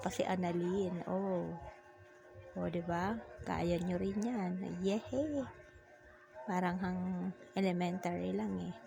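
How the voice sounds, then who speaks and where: Through audible room echo and noticeable background noise, a woman speaks at a very slow pace with long, frequent pauses. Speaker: vlogger. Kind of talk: vlog narration.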